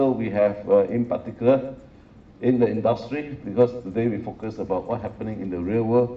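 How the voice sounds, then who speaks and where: A man with a Singaporean accent, medium pitch, fairly even intonation and a fairly quick pace, with audible room echo. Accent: Singlish. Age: 60s. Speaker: professor. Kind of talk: lecture.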